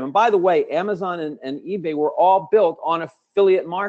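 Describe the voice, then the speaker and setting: A man's somewhat brisk delivery, its pitch shifting in the usual way. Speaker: webinar presenter. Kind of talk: sales pitch. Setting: online webinar. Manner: fast; animated.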